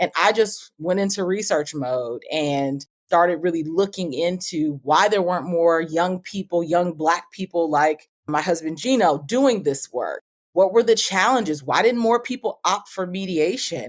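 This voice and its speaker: A normal speaking voice with an American accent, with hardly any pauses at a fairly slow pace. The intonation is lively. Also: woman, fairly low pitch for a woman. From Oakland, California. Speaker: tech startup founder. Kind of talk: interview.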